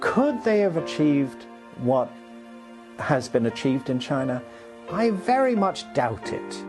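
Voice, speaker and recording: Music plays behind a man talking at a fairly slow pace. He leaves long, frequent pauses. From China. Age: 60s. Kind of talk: interview answer.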